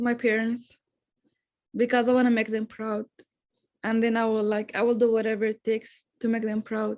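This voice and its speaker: A woman speaks in an Arabic accent with monotone, flat intonation. She leaves long, frequent pauses. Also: moderate pace. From Syria. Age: young, recent high school graduate. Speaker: student, refugee. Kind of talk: interview answers.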